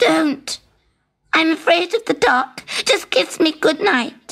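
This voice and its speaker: A woman uses a put-on character voice with an extremely high pitch at a fairly slow pace. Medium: read story. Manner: persistent, pleading.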